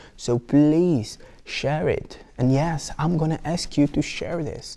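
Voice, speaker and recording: A man's fairly high voice with a Brazilian Portuguese accent in a very clean recording with a silent background. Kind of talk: casual vlog monologue. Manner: halting, many fillers and restarts.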